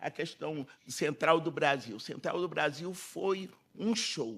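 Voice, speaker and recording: The voice is a man's. Recorded very cleanly, the clip has a silent background. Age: 80s+. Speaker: politician, panel speaker. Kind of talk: panel talk.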